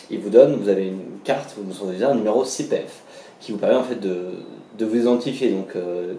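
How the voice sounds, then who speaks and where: A medium-pitched man talks at a very fast pace. His pitch varies in an ordinary way, and there is audible room echo. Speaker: language vlogger, traveller. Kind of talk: vlog explainer. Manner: casual, many hesitations.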